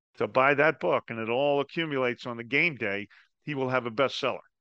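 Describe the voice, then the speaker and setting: A man speaks in a normal speaking voice at a medium pitch, with an American accent. His intonation is fairly even. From New Jersey. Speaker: podcast host. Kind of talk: interview.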